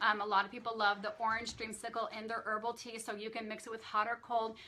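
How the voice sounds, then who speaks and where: Over noticeable background noise, a woman speaks at a very fast pace and a fairly high pitch. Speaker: nutrition specialist doing a weekly live Q&A. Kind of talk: live stream Q&A with product talk. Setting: Facebook live stream. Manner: enthusiastic, upbeat.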